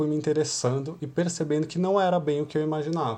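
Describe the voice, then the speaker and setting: In a quiet setting, a man with a fairly high pitch speaks at a fairly quick pace, his tone dark and mellow and somewhat breathy. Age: 30s. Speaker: youth church leader. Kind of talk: devotional talk.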